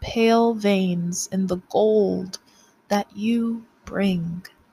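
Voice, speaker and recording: A woman speaks very slowly in a dramatic tone, somewhat breathy, with fairly even intonation. The sound is dry and close, with no echo. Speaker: poet. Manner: slow, measured and hushed, with soft dramatic pauses; expressive, sensual and wistful.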